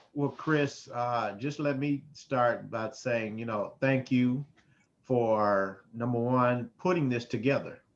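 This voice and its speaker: A man speaks very slowly at a medium pitch, with ordinary pitch variation. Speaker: mental health worker and panel participant. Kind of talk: online panel discussion.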